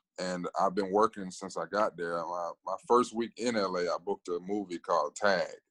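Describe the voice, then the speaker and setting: With an American accent, a man talks in a very deep, low pitch, and the sound is dry and close with no echo. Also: quiet background. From Alabama, US South. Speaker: actor. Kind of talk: interview. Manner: casual, filler-heavy.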